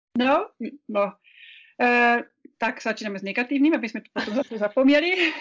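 A woman speaks with a non-native accent in a high voice, at a fairly quick pace. Her pitch varies normally, with long pauses that come often. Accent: foreign accent in Czech. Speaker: business chamber director. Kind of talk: interview. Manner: halting.

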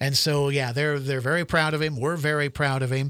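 A man speaks at a fairly high pitch with a Midwestern US accent. The recording is very clean, with a silent background. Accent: Midwestern US, general American. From central Nebraska. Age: 60s. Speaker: retired sports broadcaster. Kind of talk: casual interview chat.

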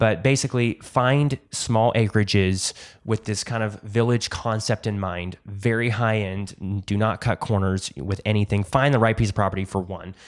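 Heard in a very clean recording with a silent background, a man with an ordinary speaking voice talks at a moderate pace. His fairly low pitch follows fairly even intonation. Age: 20s. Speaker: Airbnb host and property designer. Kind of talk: casual interview.

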